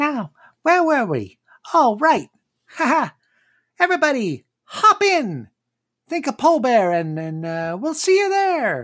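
A put-on character voice, pitched high, comes at a fairly slow pace with long, frequent pauses on a very clean recording with a silent background. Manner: cheerful, upbeat.

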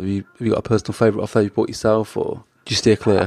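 A man speaks very fast with a British accent at a medium pitch. The sound is dry and close, with no echo. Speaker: podcast host. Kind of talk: interview.

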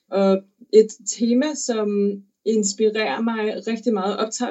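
This woman speaks at a fairly high pitch with fairly even intonation. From Denmark. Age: 20s. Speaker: opera singer. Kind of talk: interview. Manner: halting.

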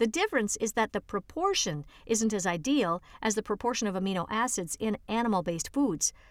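On a very clean recording with a silent background and a dry, close sound with no echo, a woman with a plain, everyday voice speaks at a fairly quick pace and a fairly high pitch, her intonation lively and her loudness very even. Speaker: audiobook reader. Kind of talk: reading aloud an article for blind listeners, audiobook style. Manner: even, clear, measured; formal, informative, steady pace.

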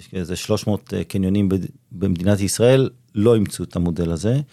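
This man's voice sits fairly low in pitch, with a dark, mellow tone. His pitch varies an ordinary amount. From Israel, Ramat HaSharon. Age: 50s. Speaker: shopping mall executive. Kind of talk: interview.

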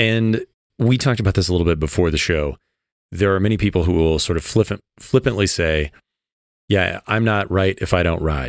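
A man with an American accent speaks at a fairly quick pace in a very deep, low voice, with ordinary pitch variation, very even loudness and long, frequent pauses, in a dry, close recording with no echo that is very clean with a silent background. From US Midwest, small town. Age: 40s. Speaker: podcast co-host. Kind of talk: casual interview.

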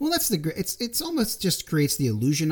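A man with an American accent, talking very fast in a somewhat breathy voice. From Philadelphia area, US. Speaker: guest co-host, laser tag player. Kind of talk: casual interview chat.

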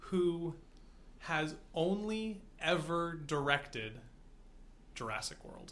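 Long pauses come often, and the delivery is very slow. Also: man, high pitch for a man. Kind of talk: casual chat. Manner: slow and careful when improvising.

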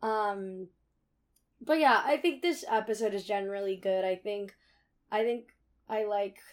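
A woman with a Californian accent talks at a fairly slow pace on a very clean recording with a silent background. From California, Bay Area (Cupertino). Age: 20s. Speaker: college radio host. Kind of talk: casual chat.

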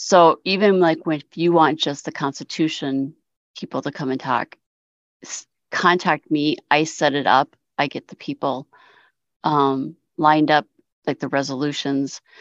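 With a very deep, low pitch, a woman talks at a fairly slow pace with long, frequent pauses and big swings in loudness against a quiet background. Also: fairly even intonation, dry, close sound with no echo. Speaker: ACB voting official. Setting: online video call.

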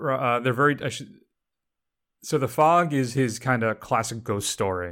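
In a very clean recording with a silent background, a man speaks at a medium pitch and a moderate pace. He has a plain, everyday voice with ordinary pitch variation. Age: 60s. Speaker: film podcast host. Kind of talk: casual chat.

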